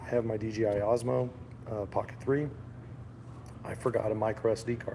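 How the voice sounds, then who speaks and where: Somewhat breathy, a man speaks at a fairly quick pace and medium pitch with fairly even intonation. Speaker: gun channel host. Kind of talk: live stream vlog. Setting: live stream at trade show. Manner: casual, halting with fillers.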